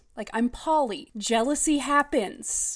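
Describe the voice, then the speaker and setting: A woman speaks in an animated tone with ordinary pitch variation. The recording is very clean, with a silent background. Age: 30s. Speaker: podcast host reviewing books. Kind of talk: casual solo commentary.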